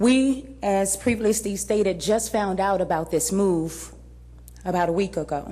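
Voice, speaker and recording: Her voice is medium in pitch for a woman, dark and mellow in tone, with vocal fry. She keeps a moderate pace and ordinary pitch variation. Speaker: parent speaking at public comment. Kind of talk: public comment at board meeting. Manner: loud.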